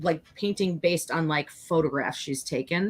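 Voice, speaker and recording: With a Chicago accent, a woman speaks at a fairly slow pace with ordinary pitch variation. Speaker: online art show co-host. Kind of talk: casual chat on live stream. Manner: chatty, many fillers.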